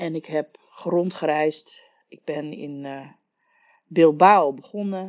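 The woman speaks in a very deep, low pitch. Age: 40s. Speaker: podcast host, story coach. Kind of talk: solo podcast monologue.

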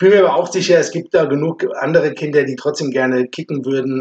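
This man has a fairly high pitch and a plain, everyday voice. He keeps a moderate pace with fairly even intonation. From Offenbach, Hesse, Germany. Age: 50s. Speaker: amateur football club chairman. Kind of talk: casual chat. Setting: basement room recording.

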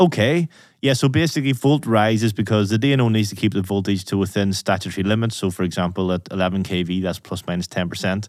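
A man with a Northern Irish accent talks very fast at a fairly low pitch, with ordinary pitch variation and hardly any pauses, in a very clean recording with a silent background. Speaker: podcast host. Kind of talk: interview, technical discussion.

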